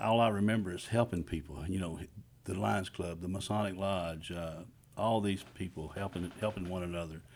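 The speaker talks at a moderate pace in a Texan accent. Pitch varies in an ordinary way. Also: man. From Texas, Houston area and Montgomery County. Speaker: county commissioner. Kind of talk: radio interview. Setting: radio studio.

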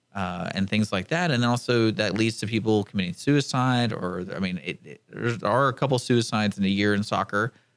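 A man speaks in a normal speaking voice at a moderate pace with ordinary pitch variation, in a very clean recording with a silent background. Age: 30s. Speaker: radio station manager. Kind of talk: casual radio talk show.

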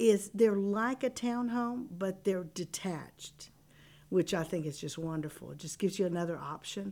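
Speaking in an American accent, a woman with an ordinary speaking voice talks at a moderate pace and medium pitch with lively intonation. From Texas, The Woodlands area. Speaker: real estate development representative. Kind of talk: radio interview. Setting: radio studio.

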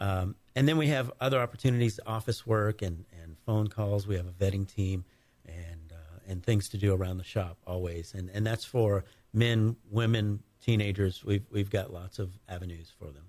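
A man speaks at a moderate pace in a somewhat breathy voice, his loudness swinging widely and his pitch varying in an ordinary way, on a very clean recording with a silent background. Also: fairly low pitch for a man. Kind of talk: casual radio interview answers. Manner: easygoing, conversational, a bit halting with fillers.

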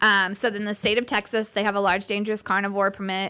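A woman's bright, sharp tone sits at medium pitch in a very clean recording with a silent background. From Indiana. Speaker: animal rescue worker and farmer. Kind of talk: casual interview.

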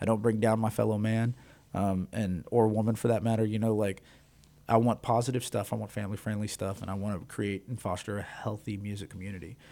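On a very clean recording with a silent background, a man with an American accent speaks at a very fast pace, his fairly low pitch and dark, mellow tone held in monotone, flat intonation. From Texas. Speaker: musician and music reviewer. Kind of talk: interview. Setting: radio studio.

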